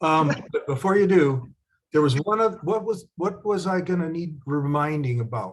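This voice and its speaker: With an ordinary speaking voice, a man talks at a moderate pace in a fairly high pitch, his intonation lively. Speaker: spiritual teacher. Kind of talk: teaching workshop. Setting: video call.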